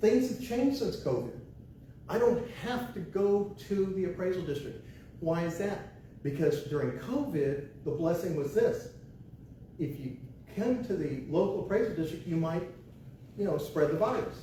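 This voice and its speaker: Speaking at a moderate pace with an American accent, a man uses a high voice and lively intonation, leaving long, frequent pauses. Room echo and noticeable background noise are audible. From Texas, San Antonio. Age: 60s. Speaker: property tax consultant. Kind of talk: workshop presentation. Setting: library room with small audience. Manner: animated.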